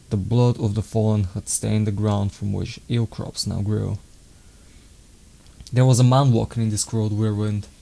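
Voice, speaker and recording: Speaking at a moderate pace with a non-native accent, a man has a fairly low pitch, a dark, mellow tone, monotone, flat intonation and long, frequent pauses. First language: not English. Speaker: author reading own book. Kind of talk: reading aloud. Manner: halting.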